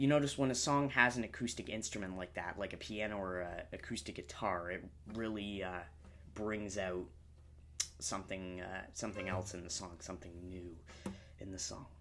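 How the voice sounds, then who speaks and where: A man talks at a moderate pace in a relaxed tone, his pitch fairly low with ordinary variation. Audible room echo surrounds him. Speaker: music reaction youtuber. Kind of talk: music review commentary. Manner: halting, many filler words; casual, relaxed.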